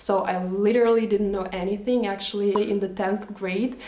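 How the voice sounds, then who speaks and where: With a Russian accent, a woman speaks at medium pitch and a moderate pace, her intonation fairly even. Noticeable background noise and audible room echo fill the recording. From Latvia, Russian-speaking family. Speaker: vlogger. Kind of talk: storytime monologue.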